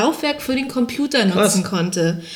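A woman speaks with noticeable background noise. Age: 20s. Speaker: podcast co-host. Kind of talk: casual chat. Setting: home recording in high-ceilinged old flat. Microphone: poor mic, room echo.

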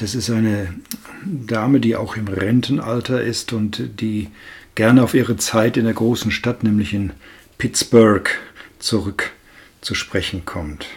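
A man speaks very slowly, somewhat breathy, at a medium pitch. His pitch varies in an ordinary way, with long, frequent pauses. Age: old. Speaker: film podcast guest, host's grandfather. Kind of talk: casual film review chat.

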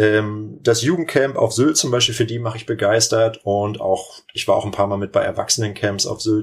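A man's somewhat breathy voice, moderate pace, ordinary pitch variation. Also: medium pitch for a man. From northern Germany, Lübeck area. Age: 30s. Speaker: volleyball coach and teacher. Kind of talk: podcast interview.

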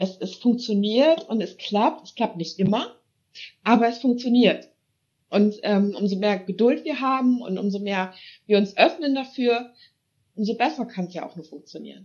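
Somewhat breathy and fairly high-pitched, a woman speaks at a moderate pace with ordinary pitch variation, big swings in loudness, and long, frequent pauses. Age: 30s. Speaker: paranormal investigator. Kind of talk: casual chat.

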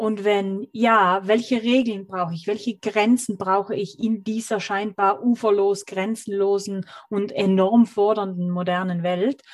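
A woman speaks with a medium pitch and fairly even intonation. Her pace is fairly slow. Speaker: author and digital detox expert. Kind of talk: interview. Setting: video call. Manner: lyrical, expressive.

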